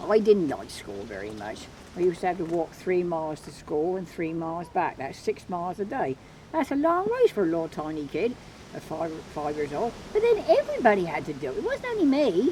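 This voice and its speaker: A woman speaks with an Isle of Wight accent at a fairly quick pace. Noticeable background noise runs behind her. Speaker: farmer and fossil museum owner. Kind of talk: interview answer. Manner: humorous.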